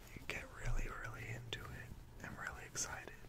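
Speaking in a whisper, a man moves along at a fairly quick pace. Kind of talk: soft-spoken casual talk, ASMR-like. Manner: soft-spoken ASMR murmur. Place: home room. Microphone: webcam.

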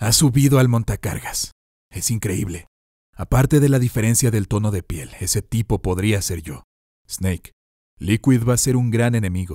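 In a dry, close recording with no echo, a man with a fairly low pitch talks at a moderate pace, somewhat breathy, with a dark, mellow tone, a dramatic tone and ordinary pitch variation. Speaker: audiobook narrator. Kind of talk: scripted audiobook narration, dramatic. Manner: dramatic, tense, measured pacing.

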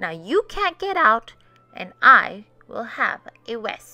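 Faint music plays behind a woman doing a bright, sharp character voice at a fairly high pitch, slow in pace with big pitch swings.

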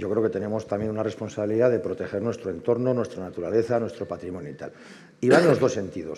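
A very fast, fairly low-pitched male voice with a dark, mellow tone and ordinary pitch variation. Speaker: heritage association member; panelist. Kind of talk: conference panel talk. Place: hall. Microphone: headset.

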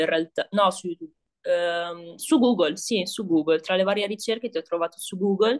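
A woman's lively intonation comes at a moderate pace, with the background quiet. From northern Italy, Piacenza. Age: 20s. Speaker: beauty therapist, course student. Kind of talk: casual interview about a course review. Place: home room. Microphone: video call.

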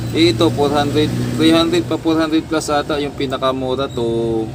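Noticeable background noise behind a man's fairly high-pitched voice. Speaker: electronics repair vlogger. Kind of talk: repair tutorial. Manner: halting.

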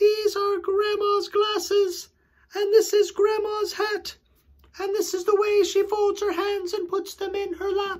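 A put-on character voice at an extremely high pitch. It moves at a fairly slow pace with monotone, flat intonation.

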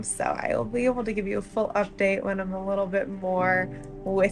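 Clear music plays behind a woman as she speaks. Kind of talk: casual vlog update.

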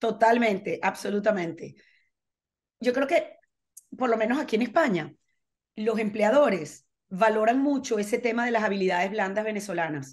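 Pausing long and often, a woman with a fairly high pitch and lively intonation speaks at a moderate pace over a quiet background. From Venezuela. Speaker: foundation manager; interviewee. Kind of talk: casual interview. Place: home room. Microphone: video call.

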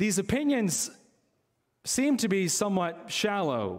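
The background is quiet as a man speaks at a moderate pace. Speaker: preacher. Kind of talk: sermon. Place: church. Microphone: podium.

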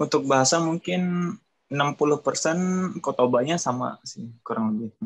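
A man is speaking against a quiet background. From Indonesia. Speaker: skilled worker in Japan. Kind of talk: casual interview. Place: home room. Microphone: video call.

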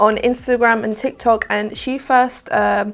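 At a fairly slow pace, a woman with a southern English accent speaks at a fairly high pitch with fairly even intonation. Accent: British, southern English.

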